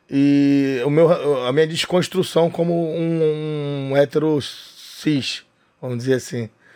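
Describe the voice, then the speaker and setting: A dark, mellow tone delivers very slow speech with fairly even intonation. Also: man, fairly high pitch for a man. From Rio de Janeiro, Brazil (northeastern family). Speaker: comedian and club owner. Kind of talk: casual interview chat. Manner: halting, repeats words.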